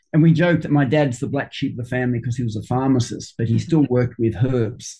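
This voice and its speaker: A man speaks at medium pitch with a dark, mellow tone. His voice is somewhat breathy, with fairly even intonation. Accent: Australian. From Sydney, Australia. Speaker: flower essence maker and homeopath. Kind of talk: interview. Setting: video call.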